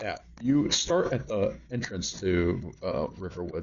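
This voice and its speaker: This man has a fairly low pitch, a lively intonation and a somewhat breathy quality. Audible room echo surrounds his voice. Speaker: gaming video creator. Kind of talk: gameplay tutorial. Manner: animated; casual, with fillers and repetition.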